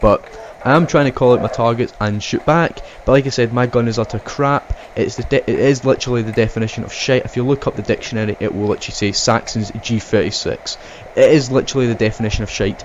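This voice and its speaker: A man with a Scottish accent, medium pitch, very fast pace and fairly even intonation, amid noticeable background noise. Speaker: airsoft player and video narrator. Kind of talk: voiceover commentary.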